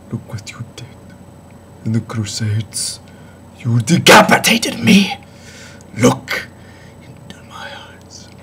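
In a put-on character voice, a man speaks very slowly at medium pitch, sounding raspy, with a theatrical, menacing tone over light background noise. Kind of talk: improvised horror monologue. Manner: theatrical, menacing, unhinged; rising to shouts.

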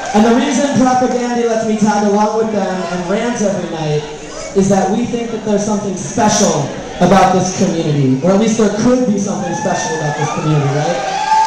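Crowd noise and strong room echo surround a man talking at a fairly quick pace. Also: ordinary pitch variation. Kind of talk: speech to a concert crowd. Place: stage.

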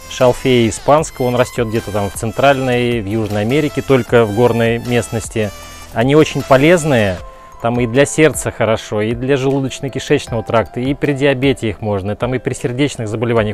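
Over faint background music, a man speaks at a fairly quick pace with ordinary pitch variation in a dry sound with no echo. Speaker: cooking vlogger. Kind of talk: casual vlog chat. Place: garden. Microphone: lapel.

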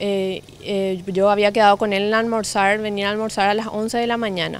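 A woman with a Paraguayan accent speaks at a moderate pace in a fairly high pitch, the sound dry with no echo. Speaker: daughter of missing man. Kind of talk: news interview testimony. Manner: halting. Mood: worried, serious. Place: garden.

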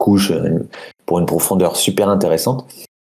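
The man's voice has a dark, mellow tone. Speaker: board game jury member. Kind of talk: casual group discussion about board games. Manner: colloquial, swears.

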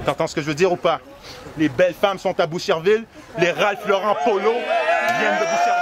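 Noticeable background noise surrounds a man speaking at a moderate pace, the sound dry with no echo. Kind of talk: energetic shout-out hype talk. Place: street. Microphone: handheld.

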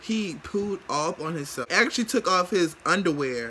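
Light background noise accompanies a man with a high pitch. He talks at a moderate pace with lively intonation. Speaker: vlogger. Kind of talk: casual vlog chat. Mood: amused, disgusted. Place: home room. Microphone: phone near.

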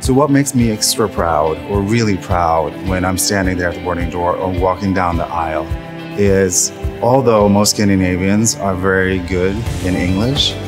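A man's very deep, low voice with ordinary pitch variation at a moderate pace, clear music in the background. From Norway. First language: Norwegian. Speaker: flight attendant. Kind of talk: interview answer. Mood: warm, proud, smiling. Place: hall. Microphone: lapel.

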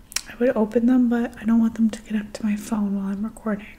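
Very fast speech comes from a woman. She is soft-spoken. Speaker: beauty product reviewer. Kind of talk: casual product review chat. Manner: soft-spoken, hushed close-mic ASMR voice. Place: home room. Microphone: studio mic.

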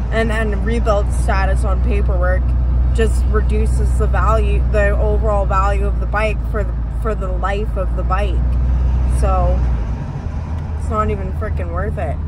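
Over loud background noise, a woman talks at a moderate pace with long, frequent pauses, the sound dry with no echo. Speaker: passenger vlogger. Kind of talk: casual vlog chat. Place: car. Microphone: phone near.

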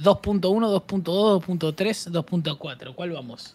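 A man speaks in an animated tone with a high pitch. His pitch variation is ordinary. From Argentina. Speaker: streamer. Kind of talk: casual chat while gaming. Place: home room.

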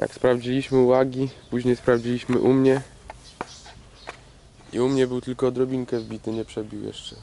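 A man's flat, monotone delivery, with a dry, echo-free sound and light background noise. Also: moderate pace. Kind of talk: casual vlog chat. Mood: relaxed, joking. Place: open country. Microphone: phone near.

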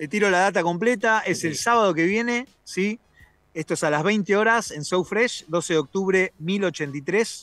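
A man speaks at a high pitch. His pitch shows ordinary variation. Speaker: music festival organizer. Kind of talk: radio interview. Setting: video call; outdoors.

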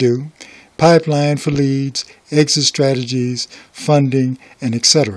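Here a man uses an unremarkable speaking voice, fairly high in pitch, with fairly even intonation. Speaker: business owner and real estate investor. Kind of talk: intro to video.

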